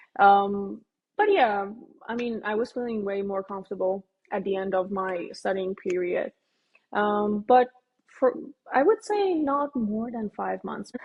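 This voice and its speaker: In a Persian accent, a woman with a medium pitch talks at a fairly slow pace, leaving long, frequent pauses. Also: ordinary pitch variation. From Iran. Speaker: dental student. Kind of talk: casual interview chat.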